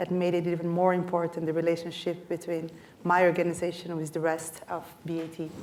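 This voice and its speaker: At a fairly quick pace, a woman with a fairly low pitch speaks in a Brazilian accent with monotone, flat intonation over noticeable background noise. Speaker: technology executive. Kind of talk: panel discussion.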